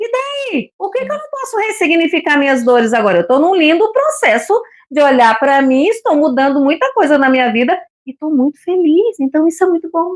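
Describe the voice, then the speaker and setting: The voice keeps a moderate pace while its pitch swings very widely. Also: woman, extremely high pitch for a woman. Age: 60s. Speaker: retired psychology-minded co-host. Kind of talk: casual book discussion live stream.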